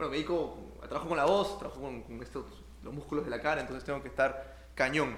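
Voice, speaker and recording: A man speaks at a very fast pace. Audible room echo and noticeable background noise surround him. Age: 20s. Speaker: comedian. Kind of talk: casual interview.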